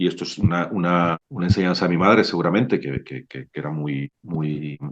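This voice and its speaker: A man with a very deep, low voice speaks at a fairly quick pace. His pitch varies in an ordinary way while his loudness swings widely. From Mexico, Sinaloa. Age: 40s. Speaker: novelist. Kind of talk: book club discussion. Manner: hesitant, many repetitions.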